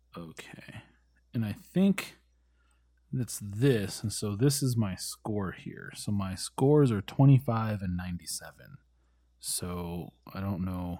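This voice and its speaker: Animated in tone, a man with a fairly low pitch uses lively intonation and big swings in loudness. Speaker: player in a tabletop role-playing game. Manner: casual, joking, animated.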